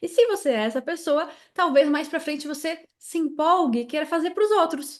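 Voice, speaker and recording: A woman speaks in a southern Brazilian accent at a moderate pace. The background is quiet. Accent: southern Brazilian accent, noticeable. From Brazil, Santa Catarina. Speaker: tax consultant and teacher. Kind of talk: interview.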